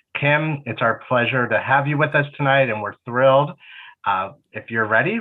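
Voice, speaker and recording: A man has an unremarkable speaking voice at a medium pitch. He talks at a fairly quick pace with ordinary pitch variation. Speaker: alumni relations host moderator. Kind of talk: webinar moderator introducing and asking questions. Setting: online webinar.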